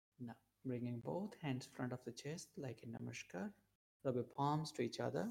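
A man's somewhat breathy, calm, soothing voice at a medium pitch with lively intonation. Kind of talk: guided meditation. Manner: slow, calm, soothing, with measured pauses.

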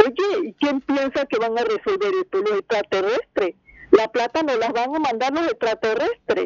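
A woman speaks in a high pitch that swings very widely. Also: moderate pace, dry, close sound with no echo. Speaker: caller. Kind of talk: call-in opinion.

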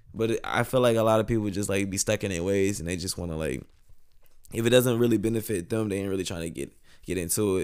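On a very clean recording with a silent background, a man talks at a very fast pace with a fairly low pitch and ordinary pitch variation. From northern Louisiana (Monroe). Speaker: musician and artist. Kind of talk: casual chat.

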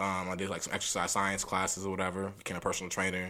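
In an American accent, a man speaks with a very deep, low pitch and a bright, sharp tone. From US Midwest, St. Paul, Minnesota. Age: 20s. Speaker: podcast host. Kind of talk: casual chat.

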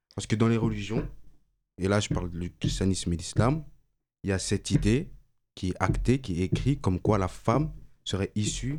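A man with vocal fry speaks at a fairly low pitch and a fairly quick pace. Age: 20s. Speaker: engineering student, debate participant. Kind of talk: casual debate.

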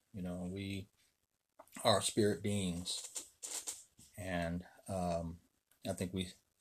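A man speaks at a very slow pace with a very deep, low voice and monotone, flat intonation. The recording is very clean, with a silent background. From Chicago, Illinois. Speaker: vlogger with a ministry background. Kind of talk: casual self-introduction monologue. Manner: halting, many fillers.

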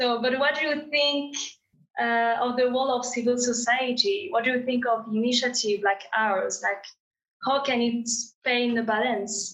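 The speaker has a French accent and talks at a moderate pace. Loudness stays very even, and pitch varies in an ordinary way. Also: woman, high pitch for a woman. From France. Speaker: graduate student. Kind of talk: interview.

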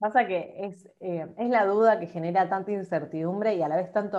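This woman talks at a fairly quick pace, her dark, mellow tone carrying ordinary pitch variation. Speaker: podcast host. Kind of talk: casual interview chat.

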